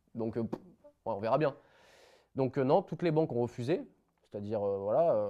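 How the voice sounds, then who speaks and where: A dark, mellow tone at a fairly quick pace, broken by long, frequent pauses. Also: man, medium pitch for a man. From France, Isère near Savoie. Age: 20s. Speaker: young entrepreneur, former truck driver. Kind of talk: podcast interview. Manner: casual, hesitant with many fillers.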